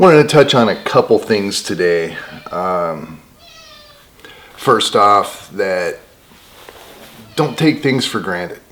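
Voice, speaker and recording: Over noticeable background noise, a soft-spoken man talks at a very slow pace with a fairly low pitch and lively intonation. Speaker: homesteading vlogger. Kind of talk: casual vlog monologue. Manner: quiet, soft-spoken.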